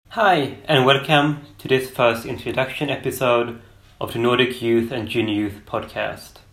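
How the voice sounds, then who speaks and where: A man at a moderate pace, with fairly even intonation and audible room echo. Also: medium pitch for a man. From Sweden. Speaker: podcast host. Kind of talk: scripted introduction.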